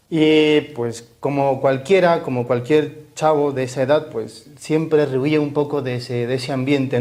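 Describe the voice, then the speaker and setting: A man's fairly high-pitched voice with ordinary pitch variation. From Mexico, Chihuahua. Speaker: Augustinian Recollect friar. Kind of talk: interview chat.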